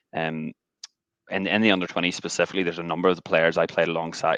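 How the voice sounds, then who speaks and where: A man with an American accent talks at a very fast pace in a very deep, low voice with a monotone, flat intonation. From Northern Ireland, Ballymena. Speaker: rugby coach. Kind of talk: webinar interview.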